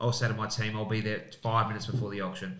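Very fast, flat, monotone speech from a man with an Australian accent, fairly low in pitch and bright and sharp in tone, over noticeable background noise. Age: 40s. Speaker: real estate agent and auctioneer; auctioneer. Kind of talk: casual chat. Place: studio.

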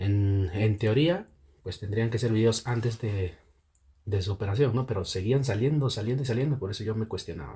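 Soft-spoken and somewhat breathy, a man talks at a moderate pace with a dark, mellow tone. His pitch is medium, with ordinary variation. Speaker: YouTube commentator. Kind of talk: online commentary. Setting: home at night.

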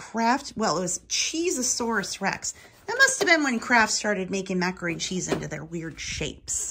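A woman's bright, sharp tone with vocal fry, a slightly husky edge and lively intonation. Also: medium pitch for a woman, moderate pace.

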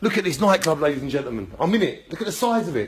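This man talks at a moderate pace. Lively intonation marks his delivery. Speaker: vlogger. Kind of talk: casual vlog chat. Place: hall. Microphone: phone near.

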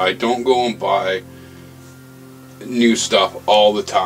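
Faint music plays in the background as a man talks with fairly even intonation. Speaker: hobbyist maker vlogger. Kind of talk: casual vlog chat. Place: workshop. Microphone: camera far.

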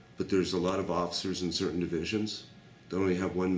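In a room with audible echo and light background noise, a man talks in a very deep, low pitch with monotone, flat intonation. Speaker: homeless man, former construction worker; interviewee. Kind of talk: interview. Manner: blunt. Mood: agitated, indignant storytelling. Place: home room.

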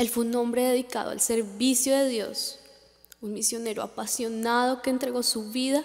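With music in the background, a woman speaks at a moderate pace and with fairly even intonation. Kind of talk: memorial speech. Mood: solemn, emotional. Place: stage.

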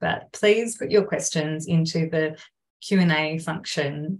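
The speaker has an Australian accent. The voice is somewhat breathy. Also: woman. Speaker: council climate engagement officer, moderator. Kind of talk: webinar moderation. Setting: video call webinar. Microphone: video call.

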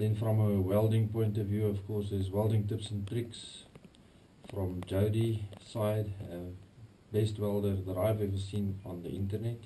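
A man speaks in a monotone with flat intonation, his pitch fairly low and his tone dark and mellow. The voice is somewhat breathy, the pace fairly slow, and there is light background noise. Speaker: hobby machinist YouTuber. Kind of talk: workshop tutorial; casual workshop tutorial chat. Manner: casual, hesitant with fillers. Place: workshop. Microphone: bad audio, camera in waterproof housing; camera far.

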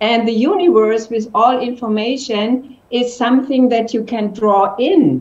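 The speaker has a German accent and a fairly slow pace. Pitch variation is ordinary. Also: woman, fairly high pitch for a woman. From Germany. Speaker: entrepreneur; interview guest. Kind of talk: interview. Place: home room. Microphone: video call.

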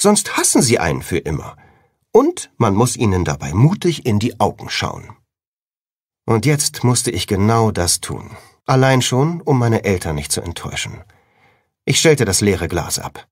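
With vocal fry, a man speaks at a fairly slow pace and medium pitch, leaving long, frequent pauses. His pitch swings very widely. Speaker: audiobook narrator. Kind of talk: audiobook reading (first-person teen fantasy novel). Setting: studio.

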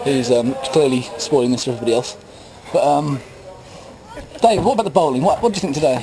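Noticeable background noise sits under a man's voice. He talks at a very fast pace with ordinary pitch variation. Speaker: mock interviewer. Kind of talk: jokey post-match interview. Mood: joking, laughing. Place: open country. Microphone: phone near.

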